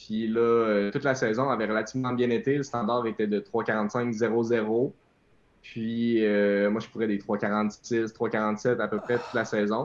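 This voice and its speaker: The background is quiet as a man speaks in a Quebec accent at a very slow pace. His pitch is medium and his intonation is monotone and flat. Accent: Québécois French. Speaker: elite runner. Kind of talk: interview.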